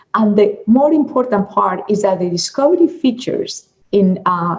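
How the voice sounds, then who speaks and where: This voice is somewhat breathy. It moves at a moderate pace. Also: woman. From Colombia. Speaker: product marketing manager. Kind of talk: conference presentation.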